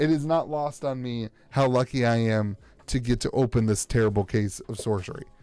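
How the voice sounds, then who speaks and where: Using a put-on character voice, a man speaks at a medium pitch. His voice is rumbling and his pace fairly quick. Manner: sarcastic, joking; mock-grumbling, playful.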